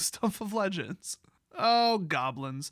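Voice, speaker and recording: Here a man speaks with a bright, sharp tone. The recording is very clean, the background silent. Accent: American. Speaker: card game YouTuber. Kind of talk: commentary review reading lore. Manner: animated.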